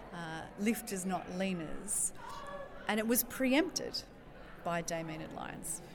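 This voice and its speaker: A woman speaks at a fairly slow pace in a medium pitch, with ordinary pitch variation and noticeable background noise. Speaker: politician. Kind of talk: interview.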